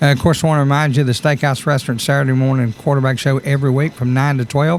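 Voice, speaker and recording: A man speaks with a Southern US accent over noticeable background noise. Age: 60s. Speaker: radio host. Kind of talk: radio interview.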